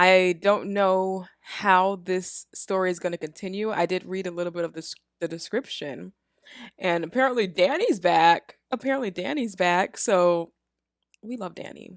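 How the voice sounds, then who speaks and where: The voice has ordinary pitch variation. The recording is very clean with a silent background. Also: woman, medium pitch for a woman, moderate pace. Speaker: movie reaction youtuber. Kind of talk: casual reaction commentary. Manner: loud, yells into the mic; animated.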